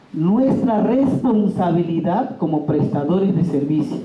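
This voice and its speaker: Noticeable background noise and audible room echo fill the recording. A man speaks at a high pitch and a fairly slow pace. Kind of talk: workshop talk. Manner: loud, emphatic.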